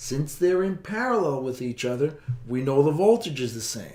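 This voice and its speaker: A man speaks in an ordinary speaking voice at a fairly high pitch. His pace is moderate and his intonation lively. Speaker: physics teacher. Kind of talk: tutorial.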